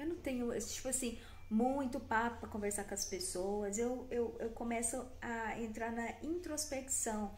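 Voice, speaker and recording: A woman's high-pitched voice at a fairly slow pace, with ordinary pitch variation, noticeable background noise and audible room echo. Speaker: wellness content creator. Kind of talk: motivational talk to camera. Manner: animated.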